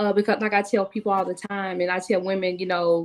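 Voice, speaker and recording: Talking at a very fast pace, a woman with a Southern US accent speaks at a medium pitch. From US South, Tennessee. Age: 40s. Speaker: author and speaker. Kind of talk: interview.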